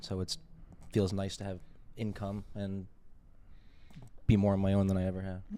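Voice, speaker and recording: Fairly quick and fairly low, a man's voice comes out in a monotone, flat delivery with a dark, mellow tone. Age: 20s. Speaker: media company owner, restaurant worker. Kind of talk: casual chat.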